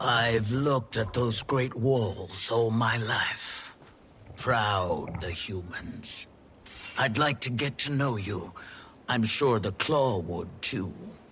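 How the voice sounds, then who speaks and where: Over clear background noise, a man puts on a character voice at a medium pitch and a very slow pace. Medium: video game. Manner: calm, firm.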